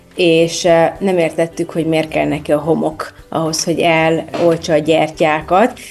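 With very even loudness, a woman talks at a fairly slow pace in a fairly low, monotone voice with flat intonation. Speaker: destination wedding planner. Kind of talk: interview.

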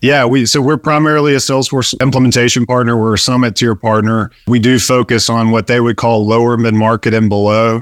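Over a very clean recording with a silent background, a man with an unremarkable speaking voice talks in an American accent at a medium pitch. His pace is fairly quick with hardly any pauses, fairly even intonation and very even loudness. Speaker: business founder. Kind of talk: casual interview.

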